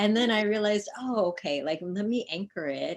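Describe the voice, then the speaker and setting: Her intonation is lively. The woman keeps to a moderate pace. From US South (born in India). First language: Indian language. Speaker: poet. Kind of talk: casual interview. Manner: many fillers (um, like).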